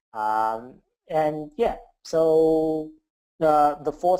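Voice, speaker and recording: A man with a non-native accent speaks at a medium pitch in a dark, mellow tone with ordinary pitch variation. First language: not English. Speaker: software developer. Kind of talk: interview.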